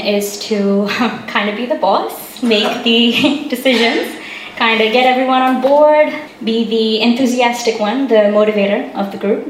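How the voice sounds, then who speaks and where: A woman speaks at a fairly high pitch over noticeable background noise. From India. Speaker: youth council chair. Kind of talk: public talk. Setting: cafe with live audience.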